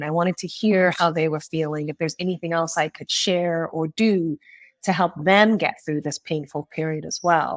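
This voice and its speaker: A woman with a plain, everyday voice speaks in an American accent at a moderate pace. Her pitch is fairly low, and the sound is dry and close with no echo. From US Northeast, Springfield, Massachusetts. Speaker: marketing executive. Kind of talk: podcast interview. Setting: remote call.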